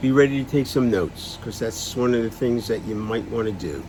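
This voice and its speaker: Noticeable noise runs behind this man's voice. He speaks at a medium pitch with ordinary variation. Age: 70s. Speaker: person living with Alzheimer's sharing experience. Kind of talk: personal vlog talk. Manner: halting.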